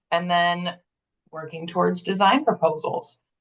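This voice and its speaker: Using a normal speaking voice, a woman talks fairly quickly at a fairly low pitch with ordinary pitch variation. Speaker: grant program manager presenting a webinar. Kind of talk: webinar presentation.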